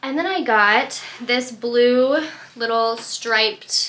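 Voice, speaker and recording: A woman speaks at a high pitch with ordinary pitch variation. Her tone is bright and sharp. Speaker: vlogger and crochet small business owner. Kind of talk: casual vlog chat. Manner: casual, filler-heavy.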